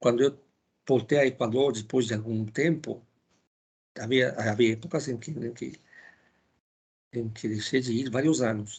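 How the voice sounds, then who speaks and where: A man's medium-pitched, somewhat breathy voice with a Spanish accent and ordinary pitch variation. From Ecuador. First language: Spanish (speaking Portuguese). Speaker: philosophy lecturer. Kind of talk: lecture. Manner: halting, with many fillers and repetitions.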